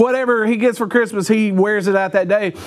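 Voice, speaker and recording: A man races along at a very fast pace, his intonation fairly even, amid noticeable background noise. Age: 40s. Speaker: pastor. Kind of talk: sermon.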